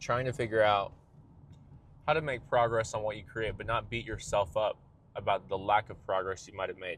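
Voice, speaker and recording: Speaking at a fairly quick pace with long, frequent pauses, a man at medium pitch keeps fairly even intonation while his loudness swings widely. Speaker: vlogger and musician. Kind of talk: casual monologue vlog. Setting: in a car. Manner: fast, talks over himself.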